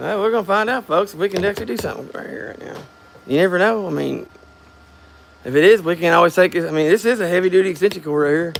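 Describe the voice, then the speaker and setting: With an American accent, a man talks very fast in a high voice, with ordinary pitch variation, big swings in loudness, and noticeable background noise. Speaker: DIY garage vlogger. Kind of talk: casual chat. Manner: halting, repeats words.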